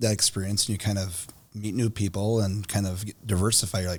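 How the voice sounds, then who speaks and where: Speaking fairly quickly, a man has a fairly low, somewhat breathy voice and an American accent. His intonation stays fairly even. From Minnesota. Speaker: mayor and podcast host. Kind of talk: casual interview.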